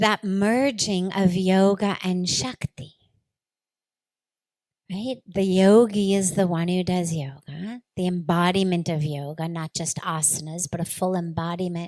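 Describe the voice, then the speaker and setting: In a dry, close sound with no echo, a woman with an ordinary speaking voice talks at a fairly slow pace. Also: medium pitch for a woman, ordinary pitch variation. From Los Angeles, USA. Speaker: spiritual leader. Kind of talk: spiritual discourse.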